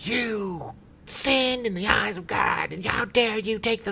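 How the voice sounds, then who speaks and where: Over light background noise, a shrill put-on character voice speaks at a fairly high pitch and a fairly slow pace. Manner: screeching, harshly scolding.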